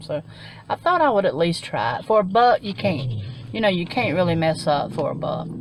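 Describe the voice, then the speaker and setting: A woman speaks at a fairly quick pace, her pitch swinging very widely. Light background noise is present, and the sound is dry with no echo. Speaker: haul vlogger. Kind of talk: casual vlog chat. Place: car. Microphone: phone near.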